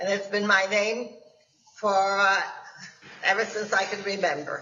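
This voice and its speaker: In a room with audible echo, a woman speaks fairly slowly at a medium pitch with monotone, flat intonation. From Germany. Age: 90s. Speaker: Holocaust survivor. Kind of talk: testimony.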